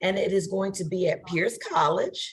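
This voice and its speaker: In a somewhat breathy voice, a woman talks with an American accent. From Texas. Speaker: committee co-chair. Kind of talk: virtual meeting update. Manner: halting, many fillers.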